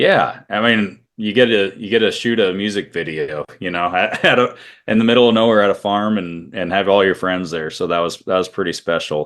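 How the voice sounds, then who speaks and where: The speaker has a Midwestern US accent and a fairly quick pace with hardly any pauses. Pitch variation is ordinary. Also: man, fairly low pitch for a man. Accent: US Midwest. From US Midwest, Iowa. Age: 30s. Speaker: country singer-songwriter. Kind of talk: interview.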